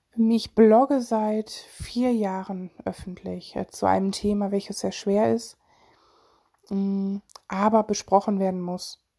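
The dry, close recording with no echo captures a woman speaking very slowly in a medium pitch, her tone dark and mellow and her intonation monotone and flat. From Germany, Solingen (Rhineland). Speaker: podcaster and mental health blogger. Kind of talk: casual personal monologue. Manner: hesitant, many fillers.

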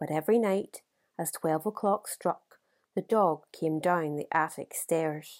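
A woman with a normal speaking voice, fairly low in pitch, with ordinary pitch variation and a fairly slow pace, in a dry, close recording with no echo, very clean and with a silent background. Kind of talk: audiobook reading of a literary short story.

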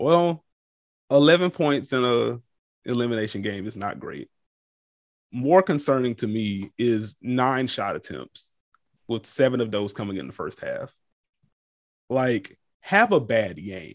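Big swings in loudness at a fairly slow pace, with long, frequent pauses. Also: man, medium pitch for a man, lively intonation. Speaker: sports podcast co-host. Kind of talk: casual sports chat. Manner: animated, conversational.

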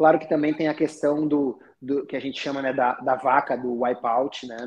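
Fairly even intonation in a man's voice of medium pitch. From Rio Grande do Sul, southern Brazil (Taquara). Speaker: chiropractor. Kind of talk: casual chat.

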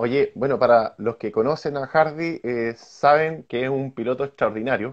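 Speaking at a moderate pace with hardly any pauses, a man with a Chilean accent uses a medium pitch and ordinary pitch variation. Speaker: motocross show host. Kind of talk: casual interview.

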